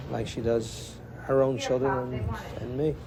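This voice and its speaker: Amid audible room echo and noticeable background noise, a man speaks at a medium pitch. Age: 60s. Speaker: butcher shop owner. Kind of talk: documentary interview.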